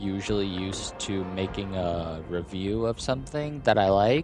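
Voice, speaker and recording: A man talks at a moderate pace, his pitch varying in an ordinary way, while music plays in the background. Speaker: amateur game reviewer. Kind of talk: video game review. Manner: stutters and stalls between words.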